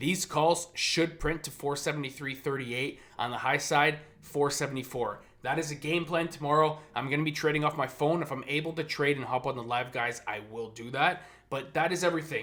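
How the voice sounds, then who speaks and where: Bright, sharp tone from a man with ordinary pitch variation. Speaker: day trader. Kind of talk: market recap and trading plan. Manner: fast; animated.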